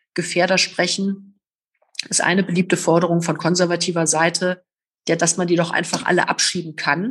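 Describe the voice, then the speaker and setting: Somewhat breathy and fairly low-pitched, a woman speaks at a fairly quick pace. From Rhineland, Oberbergischer Kreis, Germany. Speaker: politician, former police officer. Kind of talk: interview. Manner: hesitant with many fillers.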